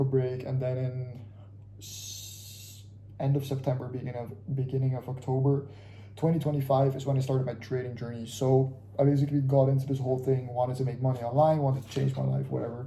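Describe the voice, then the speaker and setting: In a room with audible echo, a man talks very fast at a medium pitch, his dark, mellow voice somewhat breathy and his intonation flat and monotone. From Curacao, Caribbean. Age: 20s. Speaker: vlogger, aspiring trader. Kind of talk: casual vlog monologue. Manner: casual, halting with fillers.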